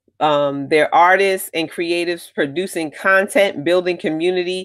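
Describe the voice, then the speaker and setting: Fairly slow in pace, a woman speaks at a fairly low pitch with ordinary pitch variation. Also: very clean recording, silent background. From Connecticut, US. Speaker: podcast host and literary festival founder. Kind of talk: solo podcast announcement. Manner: hesitant, many fillers.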